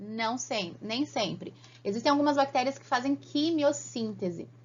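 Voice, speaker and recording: A fairly high-pitched woman's voice with vocal fry, lively intonation and a fairly slow pace. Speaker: biology teacher. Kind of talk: online lecture. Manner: animated.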